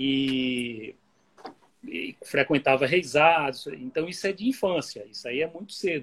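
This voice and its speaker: A man speaks at a fairly high pitch with lively intonation and big swings in loudness. His pace is fairly slow. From Bahia, Brazil. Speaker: music researcher and author. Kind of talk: interview on an Instagram live. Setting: video call.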